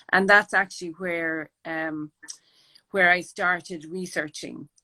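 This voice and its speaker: A woman speaks in an Irish accent with a fairly low pitch. The sound is dry and close, with no echo. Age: 60s. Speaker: artist and project founder. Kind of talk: interview.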